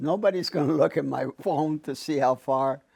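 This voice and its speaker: Against music in the background, a man speaks fairly slowly with lively intonation. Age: 80s+. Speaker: abstract painter. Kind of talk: documentary interview answer.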